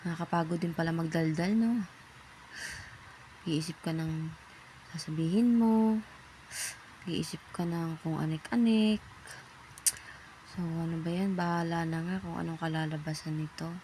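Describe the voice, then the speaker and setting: Speaking at a fairly slow pace with long, frequent pauses, a woman uses a fairly low pitch and ordinary pitch variation. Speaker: first-time vlogger, parent. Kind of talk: casual vlog voiceover. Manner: casual, chatty.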